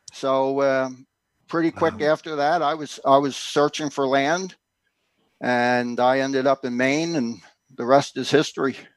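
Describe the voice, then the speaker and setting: An unremarkable speaking voice comes from a man with an American accent and fairly high pitch. He keeps a moderate pace and fairly even intonation. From Philadelphia, US. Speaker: homesteader and author. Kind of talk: casual interview. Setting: remote link.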